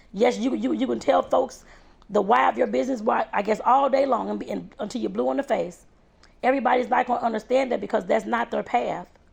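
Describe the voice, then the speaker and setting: A woman with a St. Louis accent, animated in tone, at a fairly quick pace. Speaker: home baker and vlogger. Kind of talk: motivational vlog talk.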